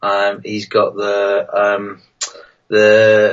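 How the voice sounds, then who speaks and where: A man with a northern English accent. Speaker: wargaming YouTuber. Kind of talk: live stream chat. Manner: hesitant, many fillers.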